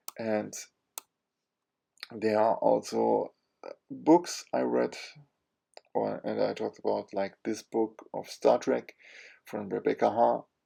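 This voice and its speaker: A very slow-talking man with long, frequent pauses. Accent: German. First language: German. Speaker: comic book YouTuber. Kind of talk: casual monologue. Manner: halting, many fillers.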